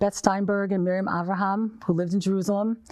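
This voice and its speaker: A woman with an American accent, an unremarkable speaking voice at medium pitch, fairly quick in pace over a quiet background. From US Northeast, New York. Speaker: nonprofit director. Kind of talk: interview.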